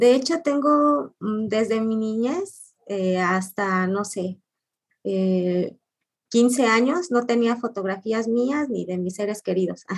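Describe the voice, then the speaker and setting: The woman's voice is fairly high in pitch. She speaks very slowly with lively intonation. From Mexico, Orizaba, Veracruz. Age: 40s. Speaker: photographer. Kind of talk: interview.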